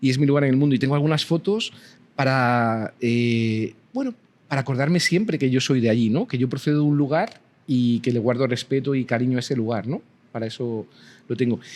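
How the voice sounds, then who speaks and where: A man speaks with a Spanish accent at a fairly quick pace. His medium pitch shows ordinary variation. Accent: Spanish (Spain). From Spain. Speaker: university professor. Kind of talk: interview conversation.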